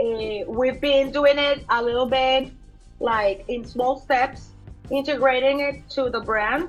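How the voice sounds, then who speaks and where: Over music in the background, a woman with a Colombian accent talks at a very slow pace in a high pitch with fairly even intonation. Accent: soft Colombian Spanish. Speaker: fashion designer. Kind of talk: interview answer.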